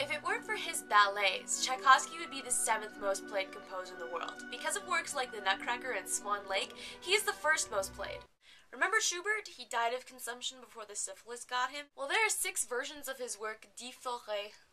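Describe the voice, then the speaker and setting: Against clear music in the background, a woman speaks at a fairly quick pace in a high voice with big swings in loudness. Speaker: vlogger. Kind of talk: casual vlog chat. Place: home room. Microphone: webcam.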